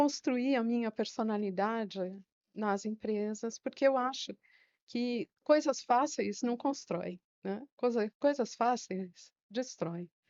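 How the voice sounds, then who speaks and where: A very slow pace with ordinary pitch variation. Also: woman. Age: 60s. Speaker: retired secretary and teacher. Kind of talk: interview.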